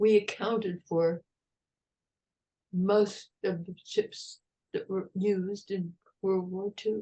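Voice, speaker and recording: With an American accent, a woman with a medium pitch speaks at a very slow pace in a dark, mellow tone, with monotone, flat intonation, big swings in loudness and long, frequent pauses. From United States. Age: 80s+. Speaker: retired park ranger, historian. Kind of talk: interview answer.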